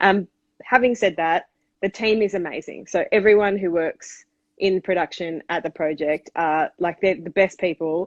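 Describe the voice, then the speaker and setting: A woman with an Australian accent speaks at a moderate pace and medium pitch, with ordinary pitch variation. The sound is dry and close with no echo, over a quiet background. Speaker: TV panelist and comedian. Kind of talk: casual interview. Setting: call-in to live stream.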